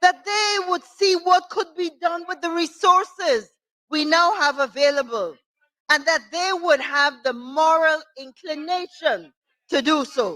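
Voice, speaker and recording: In a dry, close recording with no echo, a woman speaks at an extremely high pitch in a raised, projected voice. Her tone is bright and sharp, and her pace fairly slow. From Guyana. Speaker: opposition member of parliament. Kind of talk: parliamentary budget debate speech. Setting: parliament chamber. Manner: formal.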